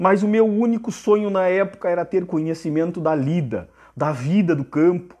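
Over a quiet background, a man speaks at a moderate pace. His voice is high, with lively intonation. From Rio Grande do Sul, Brazil (Bagé); Rio Grande do Sul, Brazil. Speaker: horseman and livestream host; live streamer. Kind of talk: casual live stream chat. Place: home room. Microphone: phone near.

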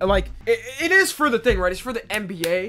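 Over faint music in the background, a man uses a raised, projected voice at a moderate pace. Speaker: streamer. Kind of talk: casual reaction commentary. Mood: playful, joking. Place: home room. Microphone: earbuds.

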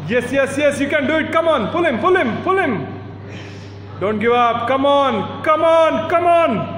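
Against light background noise and audible room echo, a man speaks at a fairly slow pace in an extremely high pitch, his tone animated and his intonation lively. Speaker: commentator and cheerleader. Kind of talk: live arm wrestling commentary, play-by-play with cheering. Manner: animated hype-man announcer, builds drama for each new opponent. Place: gym. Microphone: phone near.

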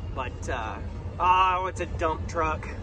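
A man's voice in a dry sound with no echo, with noticeable background noise. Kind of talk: casual vlog chat. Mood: relaxed, joking. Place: car. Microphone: phone near.

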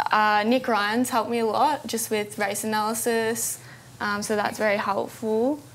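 A woman with an Australian accent at a fairly slow pace and with fairly even intonation, over light background noise. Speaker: apprentice jockey. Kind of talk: TV interview. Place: studio. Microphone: lapel.

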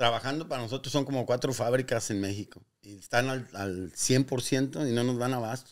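A man with a Mexican accent talks at a moderate pace and medium pitch with hardly any pauses, ordinary pitch variation and big swings in loudness, over a quiet background. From Guanajuato, Mexico. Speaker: business owner; guest. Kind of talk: interview. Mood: relaxed, reflective storytelling. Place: shop. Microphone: studio mic.

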